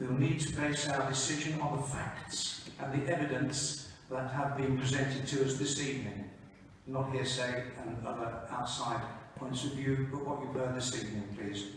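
Strong room echo surrounds a man speaking at a moderate pace. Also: medium pitch for a man, fairly even intonation.

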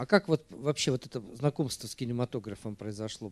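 The pace is moderate as this man talks. His pitch moves in an ordinary way. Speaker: film club host; moderator of the film club meeting. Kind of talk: public Q&A moderation. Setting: stage with audience. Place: hall. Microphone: handheld.

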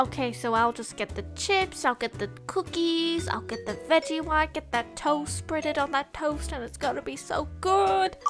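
Over clear music in the background, a female-sounding cartoonish character voice speaks at a moderate pace. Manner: excited, greedy, rambling.

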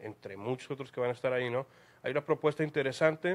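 This is a man's voice. It has a medium pitch. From Mexico. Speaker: interviewer. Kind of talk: interview. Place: cafe. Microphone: handheld.

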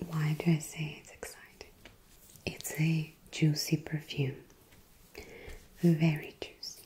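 Soft-spoken and very deep in pitch, a woman talks at a very slow pace in a flat monotone over light background noise. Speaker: perfume reviewer. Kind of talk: soft-spoken product review. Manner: soft, hushed ASMR speaking voice.

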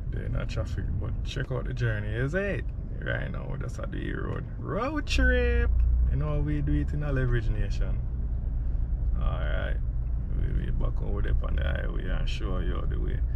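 A man's moderate-paced speech is accompanied by noticeable background noise. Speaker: vlogger. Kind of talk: casual vlog chat. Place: car. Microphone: phone near.

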